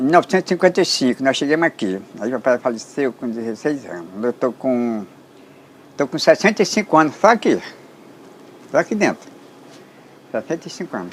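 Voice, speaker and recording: A man talks at a fairly quick pace, but with long, frequent pauses. His fairly high voice has very wide pitch swings and big swings in loudness. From Brazil, Ceará (Limoeiro do Norte), then Amazon rubber estate. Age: 80s+. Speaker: elderly rubber tapper. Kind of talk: storytelling interview. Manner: animated.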